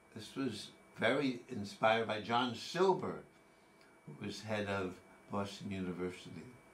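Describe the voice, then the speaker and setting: Over noticeable background noise and audible room echo, a man speaks at a moderate pace with ordinary pitch variation, big swings in loudness, and long, frequent pauses. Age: 80s+. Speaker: retired teacher sharing his cancer experience. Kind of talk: personal monologue. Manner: halting.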